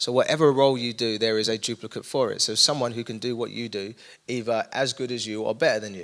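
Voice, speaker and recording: A man in an East London accent, medium pitch, fairly even intonation and a very fast pace, on a very clean recording with a silent background. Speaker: young adults pastor. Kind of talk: casual interview conversation.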